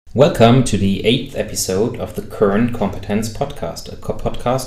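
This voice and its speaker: Noticeable background noise behind a man's fairly low voice, with ordinary pitch variation and a moderate pace. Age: 30s. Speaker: podcast host. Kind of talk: podcast interview.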